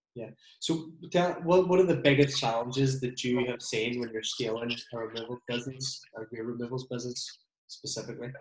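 At a fairly quick pace, a man talks in a normal speaking voice of medium pitch, with ordinary pitch variation and big swings in loudness. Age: 30s. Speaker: podcast host and removals business owner. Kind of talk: casual chat. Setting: video call.

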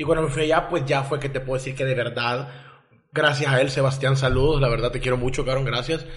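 Through audible room echo and noticeable background noise, a man talks very fast at medium pitch in a monotone, flat way. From El Salvador. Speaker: podcast guest, communications graduate. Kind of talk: casual interview about addiction and rehab.

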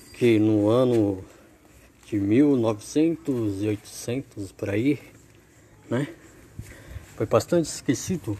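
At a very slow pace, a man with a dark, mellow tone speaks at a medium pitch with ordinary pitch variation and long, frequent pauses. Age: 20s. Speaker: amateur podcaster. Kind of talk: practice podcast monologue. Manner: repetitive filler "né".

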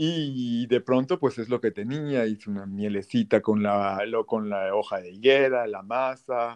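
Over a quiet background, a man speaks at a fairly slow pace and medium pitch, with ordinary pitch variation, big swings in loudness, hardly any pauses, and a dry, close sound with no echo. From Mexico, Tabasco. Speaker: chef. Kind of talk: interview.

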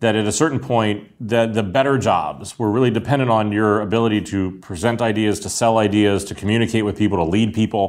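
A normal speaking voice with an American accent, a fairly quick pace and ordinary pitch variation. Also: man, fairly low pitch for a man. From US, Pittsburgh. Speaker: design executive. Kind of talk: interview.

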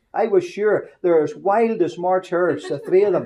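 A man with a Northern Irish accent talks at a moderate pace. His tone is dark and mellow, and his intonation stays fairly even. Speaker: preacher. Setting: mission hall service. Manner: folksy, humorous storyteller.

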